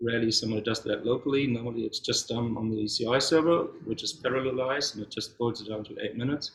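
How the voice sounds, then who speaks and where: A man speaks in a German accent, somewhat breathy. His intonation stays fairly even. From Germany. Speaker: software developer. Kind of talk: conference talk. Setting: meetup with audience.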